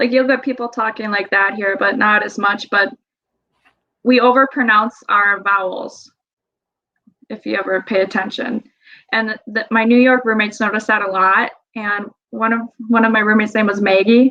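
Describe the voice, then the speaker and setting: Speaking with a Wisconsin accent, a woman uses a fairly high pitch and fairly even intonation, leaving long, frequent pauses. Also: moderate pace. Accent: Wisconsin accent, moderate. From Wisconsin, US Midwest. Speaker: study abroad traveler, hunter. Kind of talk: podcast interview.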